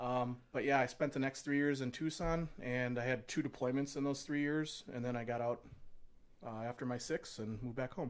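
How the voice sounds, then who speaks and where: A man talks at a moderate pace and a medium pitch with fairly even intonation. It is an unremarkable speaking voice. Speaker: Air Force veteran. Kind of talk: casual chat. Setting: studio.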